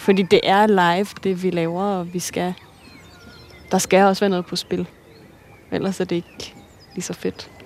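A woman's medium-pitched, monotone, flat delivery with long, frequent pauses over noticeable background noise. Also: fairly slow pace. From Denmark, Virum north of Copenhagen. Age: 20s. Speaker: ballet dancer. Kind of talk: casual conversation. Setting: outdoors, walking.

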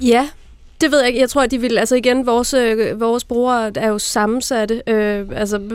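A woman speaks in an ordinary speaking voice at a moderate pace. Her pitch is fairly high and her intonation fairly even. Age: 30s. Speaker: magazine editor-in-chief. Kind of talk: panel discussion. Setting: radio studio.

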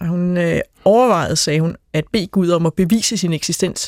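An ordinary speaking voice moves at a moderate pace, the sound dry and close with no echo. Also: woman. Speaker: pastor. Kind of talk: panel discussion.

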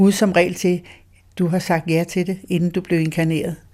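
A woman's medium-pitched voice in a dark, mellow tone, monotone, flat intonation, moderate pace, and a very clean recording with a silent background. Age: 80s+. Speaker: spiritual medium's companion. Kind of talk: interview. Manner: halting.

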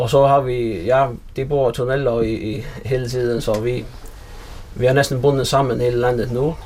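There is audible room echo and noticeable background noise around this man. He talks fairly slowly at medium pitch with fairly even intonation. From Faroe Islands, Runavík. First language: Faroese (speaking Danish). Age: 40s. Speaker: fishing vessel owner. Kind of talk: casual interview. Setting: at home in an old house. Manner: halting, repeated words.

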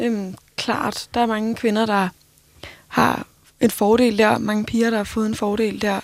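Very slowly and with long, frequent pauses, a woman talks at a fairly high pitch in a monotone, flat intonation. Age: 20s. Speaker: radio producer. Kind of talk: casual chat.

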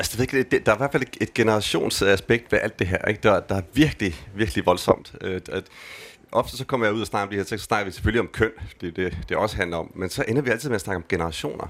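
Talking at a very fast pace, a man has a fairly low pitch. His pitch moves with ordinary variation. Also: very clean recording, silent background. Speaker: gender researcher. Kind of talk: live panel conversation. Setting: stage with audience. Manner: casual, hesitant.

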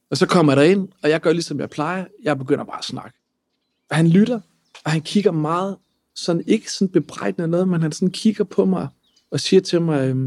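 A man speaks at a fairly quick pace in a high pitch with ordinary pitch variation. The sound is dry and close, with no echo. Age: 30s. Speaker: lawyer and entrepreneur. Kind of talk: personal testimony.

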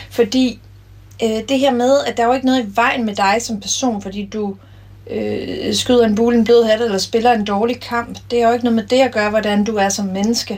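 Fairly high in pitch, a woman talks at a moderate pace with fairly even intonation over noticeable background noise. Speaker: former handball player and coach. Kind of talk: interview.

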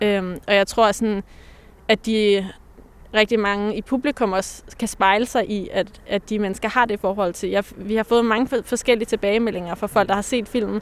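Woman's plain, everyday voice, fairly high in pitch, fairly even in intonation, at a moderate pace. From Denmark, Pakistani Punjabi heritage. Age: young. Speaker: poet, artist and psychologist. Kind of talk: interview conversation. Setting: outdoors in a cemetery.

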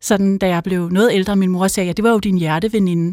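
A woman with a medium pitch talks at a fairly quick pace and with fairly even intonation on a very clean recording over a silent background. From Denmark, North Zealand (Helsinge). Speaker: author. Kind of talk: interview conversation. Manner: halting, many filler sounds.

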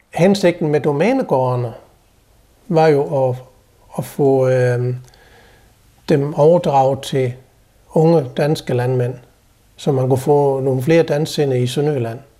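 The voice has a dark, mellow tone and ordinary pitch variation, moving at a very slow pace with long, frequent pauses. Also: man, fairly high pitch for a man. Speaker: guest's husband. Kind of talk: casual conversation.

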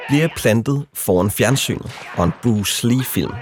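A man's fairly slow speech amid noticeable background noise. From Denmark. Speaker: documentary narrator. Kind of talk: scripted narration.

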